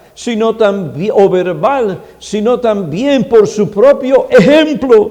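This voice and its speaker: A man speaks at a very slow pace, his voice high in pitch with a dark, mellow tone. Audible room echo surrounds him. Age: 70s. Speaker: pastor. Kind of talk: sermon.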